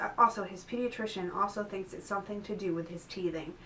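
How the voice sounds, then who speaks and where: Noticeable background noise beneath a medium-pitched female voice of fairly even intonation. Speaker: mother vlogging about her child's illness. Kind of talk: casual vlog update. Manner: conversational with many fillers.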